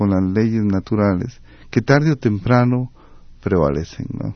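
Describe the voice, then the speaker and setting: A man with a normal speaking voice talks at a moderate pace, his fairly low pitch moving with ordinary variation. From Costa Rica. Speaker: architect and urban planner. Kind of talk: radio interview.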